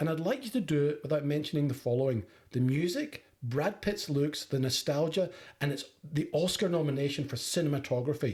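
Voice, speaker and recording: A man with a Scottish accent and a fairly high pitch talks at a fairly quick pace, somewhat breathy, his loudness very even. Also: ordinary pitch variation. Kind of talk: scathing monologue rant. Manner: furious, forceful.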